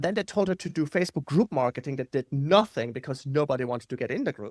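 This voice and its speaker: In a non-native accent, a man with a fairly high pitch uses lively intonation, recorded with a dry, close sound and no echo. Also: very clean recording, silent background. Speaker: marketing copywriter. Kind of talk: podcast interview. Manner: animated.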